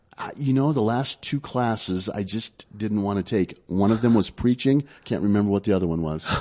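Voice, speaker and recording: In a plain, everyday voice, someone talks at a fairly quick pace with hardly any pauses and ordinary pitch variation. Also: man, fairly low pitch for a man. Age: 50s. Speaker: pastor. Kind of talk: casual chat.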